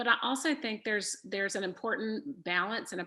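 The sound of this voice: A woman's bright, sharp tone with vocal fry at a fairly quick pace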